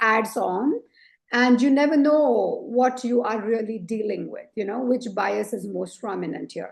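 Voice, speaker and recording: Pitched high, a woman's voice moves with ordinary pitch variation. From India. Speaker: leadership coach and author. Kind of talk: interview conversation. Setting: podcast interview.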